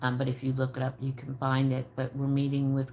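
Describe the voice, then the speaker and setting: A somewhat breathy woman speaks with a very deep, low pitch. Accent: American. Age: 70s. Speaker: trauma psychologist and homicide survivor advocate. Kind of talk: livestream talk to viewers. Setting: live video stream. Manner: hesitant, many fillers.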